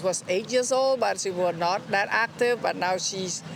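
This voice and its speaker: This woman speaks at a medium pitch. Her pace is fairly slow, with ordinary pitch variation. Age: 60s. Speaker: interviewee, member of the public. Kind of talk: street interview testimony. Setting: outdoors by the ocean. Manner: halting.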